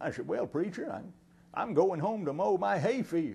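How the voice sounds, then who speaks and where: This man speaks with a Southern US accent. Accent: Southern American, rural. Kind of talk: folksy comedy monologue.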